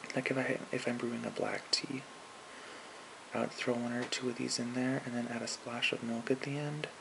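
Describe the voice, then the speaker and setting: Noticeable background noise accompanies a man's voice. He speaks at a moderate pace in a relaxed tone. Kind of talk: ASMR soft-spoken talk to camera. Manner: soft-spoken, relaxed, casual.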